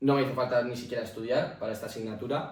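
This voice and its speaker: Audible room echo surrounds a man talking very fast with a Basque accent, at medium pitch and in a monotone, flat intonation. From Basque Country, Spain. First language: Basque (speaking Spanish). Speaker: podcast co-host. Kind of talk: casual debate.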